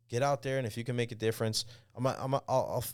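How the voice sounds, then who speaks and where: A man talks at a very fast pace in an American accent, with a medium pitch. The recording is very clean with a silent background. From New York, Long Island (Central Islip). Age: 30s. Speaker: sports talk radio host. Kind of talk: podcast interview.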